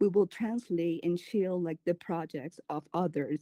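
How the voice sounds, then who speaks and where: A woman with a Spanish accent, fairly low in pitch and dark, mellow in tone, speaks at a moderate pace with fairly even intonation in a dry, close sound with no echo. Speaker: community curator and event planner. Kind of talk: panel interview. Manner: halting, many fillers.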